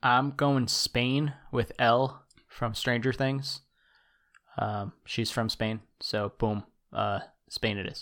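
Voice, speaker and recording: A man with an American accent, very slow and medium-pitched, with fairly even intonation and long, frequent pauses. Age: 30s. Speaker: sports podcast host. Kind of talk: casual chat.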